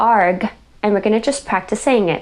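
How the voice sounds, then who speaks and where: The pace here is moderate. The speaker is a woman with an American accent. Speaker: speech therapist. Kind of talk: pronunciation tutorial.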